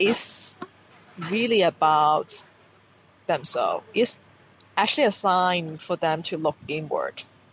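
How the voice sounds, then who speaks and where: The speech is very slow, with long, frequent pauses. Noticeable background noise runs underneath. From Hong Kong. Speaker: podcast guest sharing counseling experience. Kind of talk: casual interview chat. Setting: rooftop bar.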